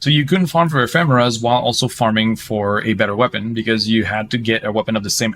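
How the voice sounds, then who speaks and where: Recorded very cleanly against a silent background, a man of medium pitch speaks at a very fast pace. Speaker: gaming live streamer. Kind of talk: live gameplay stream chat. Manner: repetitive stammering restarts.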